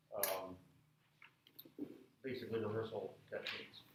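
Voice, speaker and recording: A man's voice with audible room echo. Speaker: music professor. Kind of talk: lecture. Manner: loud, projecting.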